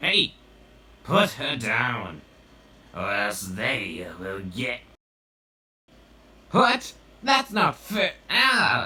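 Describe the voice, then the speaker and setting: Using a raspy, put-on character voice at a fairly high pitch, a man speaks at a very slow pace with long, frequent pauses. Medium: voice reel. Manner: upbeat, excitable.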